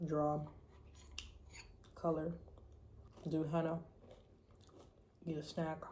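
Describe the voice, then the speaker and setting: A woman's very deep, low, somewhat breathy voice, dark and mellow in tone, flat and monotone, very slow, with long, frequent pauses and audible room echo. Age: 20s. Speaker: vlogger. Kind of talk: casual monologue vlog. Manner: casual, rambling with fillers.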